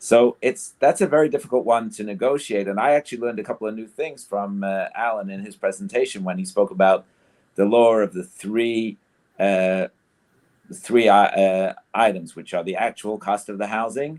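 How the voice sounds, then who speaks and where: On a very clean recording with a silent background, a man of medium pitch talks at a moderate pace with ordinary pitch variation and big swings in loudness. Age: 60s. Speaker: rabbi and community council representative. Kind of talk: panel discussion. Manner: halting, many fillers.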